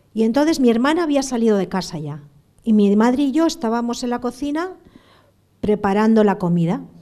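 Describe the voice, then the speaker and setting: A woman's fairly high, dark and mellow voice, very wide pitch swings, and a fairly quick pace. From Basque Country, San Sebastián. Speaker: terrorism victim giving school talks. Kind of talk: testimony. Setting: school classroom with students.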